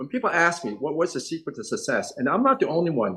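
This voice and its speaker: Speaking at a very fast pace with a New York accent, a man's voice makes very wide pitch swings. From New York City, Chinatown (emigrated from Hong Kong at five). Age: 60s. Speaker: eye surgeon. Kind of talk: interview.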